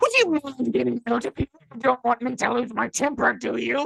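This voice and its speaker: A put-on character voice, fairly high in pitch and fairly quick in pace. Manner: irritated, blustery.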